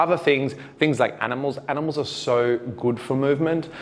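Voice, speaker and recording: With an Australian accent, a man speaks at a moderate pace with ordinary pitch variation. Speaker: dance teacher. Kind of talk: tutorial. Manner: casual, conversational.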